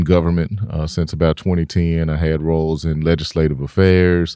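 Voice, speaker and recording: Very deep and low, a man's dark, mellow voice moves at a fairly quick pace in a dry, close sound with no echo. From Memphis, Tennessee. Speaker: city development executive. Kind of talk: interview.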